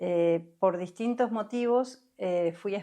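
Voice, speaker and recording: With a Uruguayan accent, a woman speaks at a medium pitch with ordinary pitch variation. Her tone is dark and mellow. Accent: Rioplatense Spanish (Uruguayan). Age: 60s. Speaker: somatic experiencing therapist. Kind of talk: interview conversation. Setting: podcast recording.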